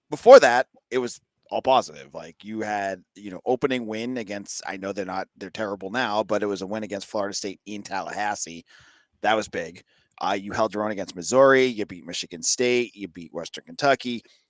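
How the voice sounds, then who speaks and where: A man with a Boston accent speaks fairly quickly at a fairly low pitch with ordinary variation, the sound dry and close with no echo. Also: big swings in loudness, very clean recording, silent background. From Boston area, US. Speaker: podcast host and sports insider analyst. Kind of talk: casual sports podcast chat.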